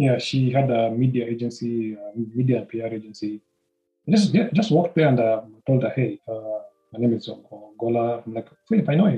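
Somewhat breathy, a man speaks at a medium pitch with ordinary pitch variation. His pace is moderate. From Nairobi, Kenya. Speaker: humanitarian and advocate. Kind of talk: casual interview about life story. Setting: home recording with noise from outside. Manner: halting, repeats words.

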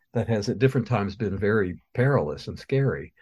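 A man talks with an American accent and ordinary pitch variation. His tone is dark and mellow. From US Midwest (Missouri). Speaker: poet. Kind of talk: casual interview. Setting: radio studio.

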